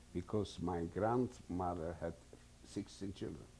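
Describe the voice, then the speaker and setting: A man speaks at a fairly slow pace in a very deep, low voice. His tone is dark and mellow, with lively intonation. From Poland, Warsaw. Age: 70s. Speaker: Holocaust survivor. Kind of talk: testimony. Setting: recorded interview. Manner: halting.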